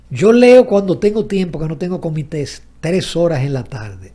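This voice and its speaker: A man with a high pitch and a dark, mellow tone speaks at a moderate pace, his pitch swinging very widely. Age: 70s. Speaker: economist and journalist. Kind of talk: interview conversation.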